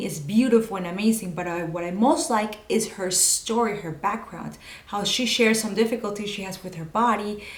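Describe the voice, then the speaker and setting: A woman with a Spanish accent and a medium pitch talks at a fairly quick pace with ordinary pitch variation, amid audible room echo and noticeable background noise. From Venezuela. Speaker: video producer and personal branding coach. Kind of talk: tutorial. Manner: self-correcting, occasional false starts.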